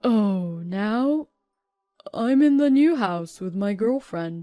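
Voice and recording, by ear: A woman speaks very slowly at a medium pitch in a put-on character voice.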